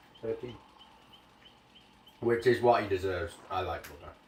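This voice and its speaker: A man speaks with lively intonation and a somewhat breathy voice. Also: long, frequent pauses, big swings in loudness. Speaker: gaming streamer. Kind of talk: casual live-stream commentary. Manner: animated.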